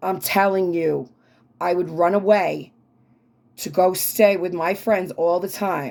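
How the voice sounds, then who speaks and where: A woman with an American accent, medium pitch and an animated tone. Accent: New York accent, consciously toned down. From New York City (Queens, Brooklyn), then Long Island. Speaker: tarot reader and travel/food vlogger. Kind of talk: casual personal monologue to viewers. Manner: animated, conversational.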